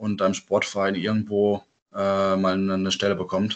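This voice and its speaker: A man's fairly low voice at a moderate pace. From southern Baden, Germany (Gengenbach near Offenburg). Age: 20s. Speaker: handball player. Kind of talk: casual interview. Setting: video call from home. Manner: halting with many fillers.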